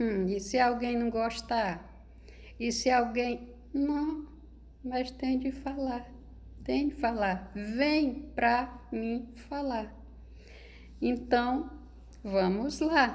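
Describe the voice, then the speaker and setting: Speech comes at a very slow pace, broken by long, frequent pauses. Room echo is audible. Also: woman. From rural Brazil. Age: 60s. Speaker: spiritual video creator. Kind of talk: monologue to camera. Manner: informal, conversational.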